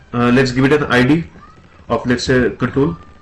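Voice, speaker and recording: A man speaking at a moderate pace over noticeable background noise. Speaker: programming tutor. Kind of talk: tutorial. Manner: hesitant, many filler sounds.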